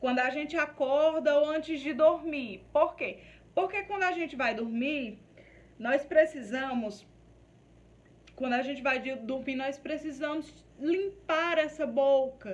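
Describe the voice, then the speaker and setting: Audible room echo surrounds a woman's high voice. Her intonation is lively and her pace very slow. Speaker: nursing course teacher. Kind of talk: lecture. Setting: recorded video class. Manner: stammering.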